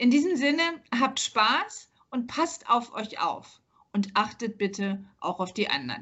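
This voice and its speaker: Speaking very slowly, a woman uses a fairly high pitch that swings very widely, with vocal fry. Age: 50s. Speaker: workplace health consultant and business owner. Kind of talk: podcast interview. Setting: remote recording from a hotel.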